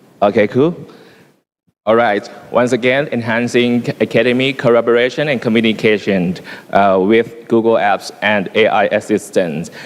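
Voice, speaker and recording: Speaking at a moderate pace, a man keeps a very even loudness. His pitch sits in the medium range and varies in an ordinary way. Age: 40s. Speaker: teacher presenting at education symposium. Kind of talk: conference presentation. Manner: halting, many fillers.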